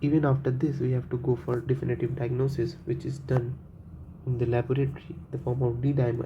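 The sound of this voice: A man's dark, mellow voice at medium pitch, fairly quick in pace, with little pitch movement.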